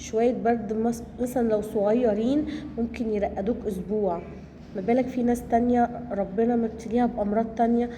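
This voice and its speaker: With an Egyptian accent, a woman speaks at a fairly high pitch and a moderate pace, with noticeable background noise and audible room echo. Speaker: cooking vlogger, homemaker. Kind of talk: cooking vlog narration. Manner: casual, halting with fillers.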